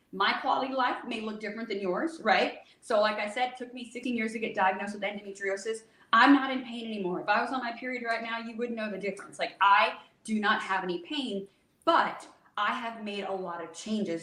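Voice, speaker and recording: A fairly high-pitched woman at a fairly quick pace, with ordinary pitch variation, big swings in loudness and audible room echo. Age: 40s. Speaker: holistic hormone health expert. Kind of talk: podcast interview. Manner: fast; animated.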